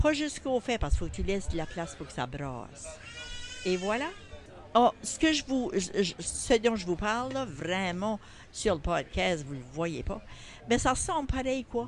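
Over noticeable background noise, a woman of medium pitch talks at a moderate pace with very wide pitch swings and long, frequent pauses. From New Brunswick, Acadian (Kent County). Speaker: grandmother leading a cooking workshop. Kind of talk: cooking demonstration. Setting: farmers market.

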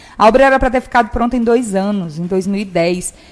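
A woman talks with ordinary pitch variation while music plays behind her. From Imperatriz, Maranhão, Brazil. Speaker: journalist and live show host. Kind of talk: live interview show. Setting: studio.

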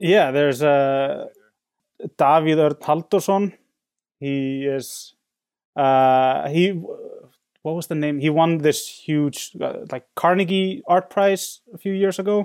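With an Icelandic accent, the speaker goes at a very slow pace with ordinary pitch variation. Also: man, fairly high pitch for a man. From Iceland, Reykjavik. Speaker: painter. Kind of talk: interview. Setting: home studio in basement, remote call. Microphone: soundproofed studio, clear reception.

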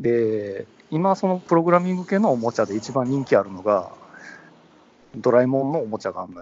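In a Kansai accent, a man talks at medium pitch and a fairly quick pace, with very wide pitch swings and big swings in loudness. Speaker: podcast co-host. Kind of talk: casual chat. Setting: phone call from a train station platform.

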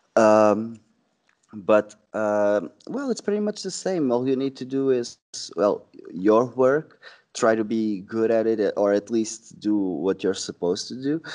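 With a Portuguese accent, a man talks at a fairly slow pace in a medium pitch with ordinary pitch variation. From Portugal, Sesimbra. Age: 20s. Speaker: sales representative. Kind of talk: casual interview.

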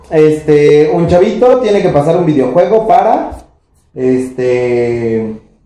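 With a Mexican accent, a man talks at a very slow pace and a fairly high pitch. His voice swings very widely in pitch, and audible room echo is present. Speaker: podcast co-host. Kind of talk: casual chat.

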